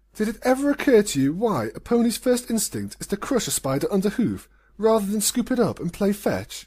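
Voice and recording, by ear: In a very clean recording with a silent background, a woman does a hissing, put-on character voice at a medium pitch and a fairly quick pace.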